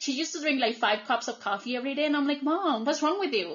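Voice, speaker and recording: A woman with a Colombian accent speaks with lively intonation. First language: Spanish. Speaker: podcast host. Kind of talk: casual podcast conversation.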